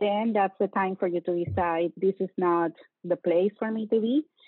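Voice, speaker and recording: This is a woman speaking. She talks with a Latin American accent. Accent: noticeable Latin American Spanish. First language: Spanish. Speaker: bank security executive. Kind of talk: interview. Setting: video call.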